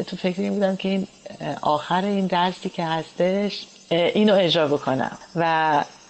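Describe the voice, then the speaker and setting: A woman speaks at a moderate pace in an ordinary speaking voice. Her pitch is fairly low, with fairly even intonation. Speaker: pianist. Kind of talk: interview.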